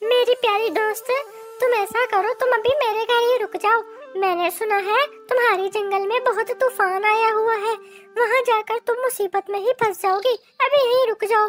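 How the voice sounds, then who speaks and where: A cartoonish character voice that sounds female speaks at a moderate pace and an extremely high pitch, with faint music in the background. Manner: warm, sweet.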